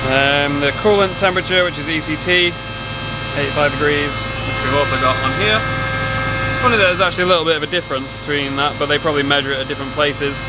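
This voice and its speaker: With an English accent, a man talks very fast at a fairly high pitch and ordinary pitch variation, with audible room echo and noticeable background noise. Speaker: car-build YouTuber. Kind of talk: DIY garage vlog. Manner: shouting over engine noise.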